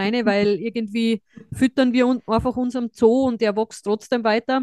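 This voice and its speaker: In a dry, close sound with no echo, a woman speaks at a fairly quick pace and a fairly high pitch. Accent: strong Austrian. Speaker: podcast host, dietitian. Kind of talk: casual chat.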